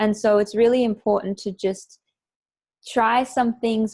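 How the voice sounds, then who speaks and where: A soft-spoken woman's voice, fairly high in pitch, with fairly even intonation. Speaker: self-care coach for women entrepreneurs. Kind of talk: interview answer. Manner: calm, soft-spoken.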